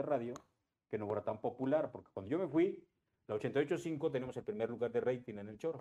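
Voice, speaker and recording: A plain, everyday voice. The pace is fairly quick. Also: man. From Cuernavaca, Mexico. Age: 50s. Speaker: radio sports announcer. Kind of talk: casual chat.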